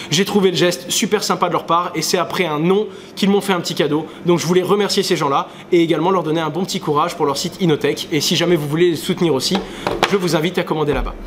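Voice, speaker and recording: Over noticeable background noise, a man talks at a very fast pace in a high pitch with fairly even intonation. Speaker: crypto YouTuber. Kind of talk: casual vlog monologue.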